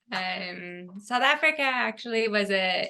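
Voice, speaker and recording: In a Californian accent, a woman speaks at a very slow pace. Her tone is bright and sharp, and the background is quiet. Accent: General American (Californian). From US West Coast (Fresno, California). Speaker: fashion designer. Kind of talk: podcast interview.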